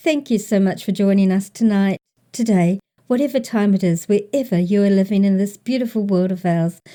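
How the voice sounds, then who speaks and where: With a New Zealand accent, a woman speaks at a medium pitch in a dark, mellow tone, keeping her loudness very even, her pitch variation ordinary and her pace fairly quick. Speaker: podcast host. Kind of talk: podcast intro.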